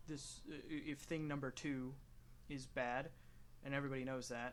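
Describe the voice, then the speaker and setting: There is audible room echo on this voice. It belongs to a man with an American accent. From United States. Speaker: gaming youtuber. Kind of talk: casual commentary while playing a game. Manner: rambling with many fillers and restarts.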